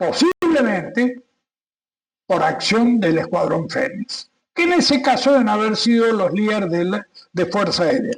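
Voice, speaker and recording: At a fairly slow pace, a man talks with lively intonation and an extremely high pitch. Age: 80s+. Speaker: retired air force captain, war veteran. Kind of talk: interview.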